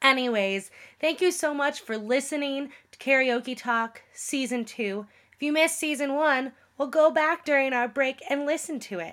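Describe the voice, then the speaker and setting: A woman speaks with a bright, sharp tone and a high pitch, at a fairly slow pace. Her intonation is lively, and the recording is very clean with a silent background. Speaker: podcast co-host. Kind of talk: casual chat.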